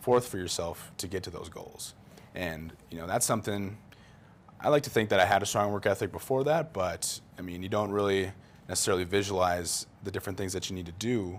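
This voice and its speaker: Pitched fairly low, a man with a normal speaking voice talks at a fairly quick pace on a very clean recording with a silent background. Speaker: college football player. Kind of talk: interview. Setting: studio.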